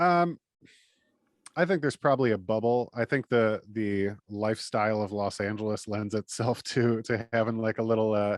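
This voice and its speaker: A man with an Upper Midwest accent, medium-pitched, at a moderate pace with ordinary pitch variation, in a dry, close sound with no echo against a quiet background. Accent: Upper Midwest American. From Michigan, Detroit area. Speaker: podcaster. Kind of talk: casual chat.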